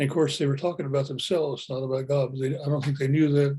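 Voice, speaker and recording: This man's voice is fairly high in pitch and somewhat breathy, with a dark, mellow tone. His intonation is monotone and flat. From Oklahoma, US. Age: 80s+. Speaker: retired engineer sharing spiritual experience. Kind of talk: testimony.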